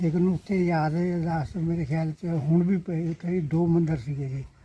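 Fairly even intonation runs through a voice of dark, mellow tone. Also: man. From Punjab, India. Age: 80s+. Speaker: partition eyewitness. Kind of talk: interview. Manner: halting.

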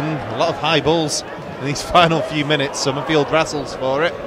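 Noticeable background noise sits behind a man with a fairly high pitch. He speaks with monotone, flat intonation, and the sound is dry with no echo. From Britain. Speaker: football commentator. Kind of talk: commentary. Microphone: headset.

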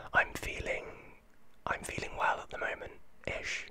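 The speaker is whispering. The pace is moderate. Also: man. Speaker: vlogger. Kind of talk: casual vlog chat. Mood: thoughtful, slightly concerned. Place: home room. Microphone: studio mic.

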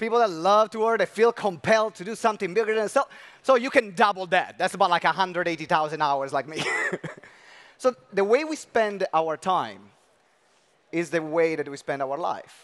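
Against a quiet background, a man speaks with big swings in loudness. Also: moderate pace. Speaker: session host. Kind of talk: event hosting address. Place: stage. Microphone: headset.

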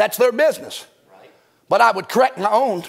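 A man talks at a very fast pace in an animated tone, his pitch extremely high with ordinary variation. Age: 50s. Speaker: pastor. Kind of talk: sermon. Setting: church. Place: church. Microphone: lapel.

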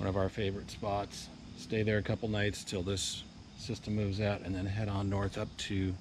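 A man with a fairly low, somewhat breathy voice speaks at a moderate pace in a monotone, flat intonation, the sound dry with no echo and noticeable background noise behind him. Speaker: trip vlogger. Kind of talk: casual vlog chat. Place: garden. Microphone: phone near.

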